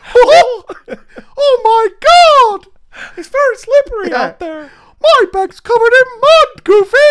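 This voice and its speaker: In a put-on character voice at an extremely high pitch, the speaker goes at a fairly slow pace with long, frequent pauses. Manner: breathless, flustered.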